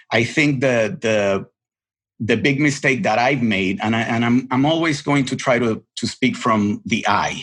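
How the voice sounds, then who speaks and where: A man with a Spanish accent speaks at a fairly slow pace, his medium-pitched voice showing ordinary pitch variation. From Puerto Rico. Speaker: television editor. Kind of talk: podcast interview. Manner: halting, many repetitions.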